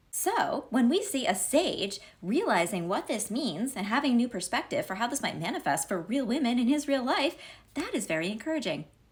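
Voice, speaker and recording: Noticeable background noise sits behind a woman's high-pitched voice. Her pitch swings very widely. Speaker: Talmud commentator. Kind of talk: casual commentary on Talmud. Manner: fast.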